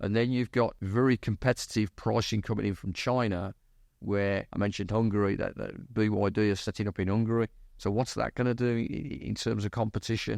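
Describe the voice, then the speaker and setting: Over a quiet background, a man with an English accent talks at a fairly quick pace. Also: fairly even intonation. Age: 60s. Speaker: company CEO. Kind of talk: podcast interview. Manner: halting, many repetitions.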